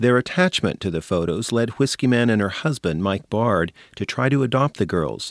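Recorded dry and close with no echo, a man has an ordinary speaking voice. He keeps a moderate pace with lively intonation. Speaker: radio reporter. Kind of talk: scripted narration.

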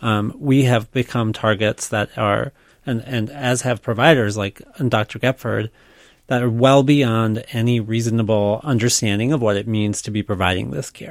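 On a very clean recording with a silent background, a man speaks in an ordinary speaking voice at medium pitch and a moderate pace, the sound dry and close with no echo. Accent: American. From Minnesota, Minneapolis suburbs. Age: 40s. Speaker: state legislator. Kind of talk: radio interview. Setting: studio.

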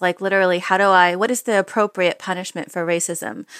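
A woman with a normal speaking voice, medium pitch and an American accent, at a fairly quick pace, dry and close with no echo on a very clean recording with a silent background. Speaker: author and advice columnist. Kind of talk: interview.

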